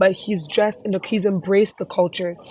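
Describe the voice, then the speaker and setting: A woman speaks at a medium pitch. Her tone is animated. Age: young. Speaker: student vlogger presenting a class project. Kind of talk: casual presentation reviewing a website.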